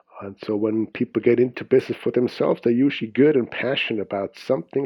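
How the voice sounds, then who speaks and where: This voice has a Swiss accent and a fairly quick pace. Its intonation stays fairly even. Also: man. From Switzerland (Zurich). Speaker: business and time management coach. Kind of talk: podcast interview.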